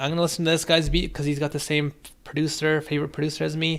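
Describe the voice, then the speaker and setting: The background stays quiet while the man talks. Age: 30s. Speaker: music producer streamer reviewing beats. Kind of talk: live stream beat review and chat. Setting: live stream. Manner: casual, relaxed. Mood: reflective, warm storytelling. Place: home room.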